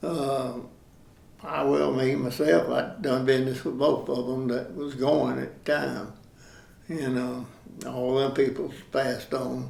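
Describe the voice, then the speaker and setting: Amid audible room echo, a man with a Southern US accent talks at a very slow pace. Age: 80s+. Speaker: local resident sharing memories. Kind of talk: oral history interview. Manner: halting, many fillers.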